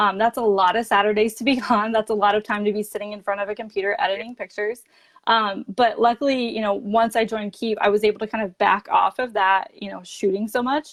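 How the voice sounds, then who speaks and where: A woman with an American accent talks at a very fast pace, with hardly any pauses. Her pitch sits fairly high. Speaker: direct sales ambassador. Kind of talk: interview. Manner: animated.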